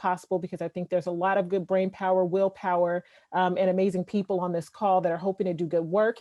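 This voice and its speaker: At a very fast pace, a woman delivers monotone, flat speech in a medium pitch with a dark, mellow tone. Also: dry, close sound with no echo. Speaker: surgeon and keynote speaker. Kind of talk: keynote talk. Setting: video call.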